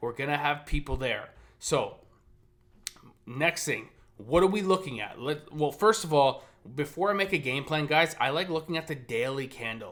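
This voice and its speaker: A man speaks in an animated tone with ordinary pitch variation, pausing often and at length. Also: fairly high pitch for a man. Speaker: day trader. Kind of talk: market recap and trading plan. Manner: fast.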